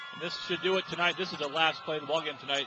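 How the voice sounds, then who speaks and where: There is noticeable background noise and audible room echo as a man talks at a very fast pace. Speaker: play-by-play sports commentator. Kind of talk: live commentary. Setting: high school football stadium.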